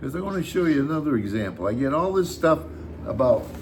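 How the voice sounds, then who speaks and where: A man with an American accent swings his pitch very widely amid noticeable background noise and audible room echo. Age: 80s+. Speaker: YouTube host, retiree. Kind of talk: casual chat.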